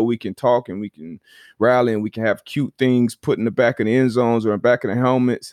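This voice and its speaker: Recorded dry and close with no echo over a silent background, very clean, a man talks fairly quickly at a medium pitch with fairly even intonation in a normal speaking voice. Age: 30s. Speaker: former football player, podcast host. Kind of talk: casual chat.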